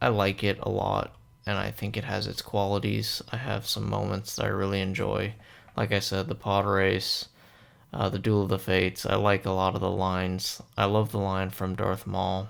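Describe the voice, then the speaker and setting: Soft-spoken man with a very deep, low pitch, vocal fry, fairly even intonation and a moderate pace. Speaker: movie reviewer. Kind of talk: movie review monologue. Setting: at home late at night. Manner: quiet, soft-spoken.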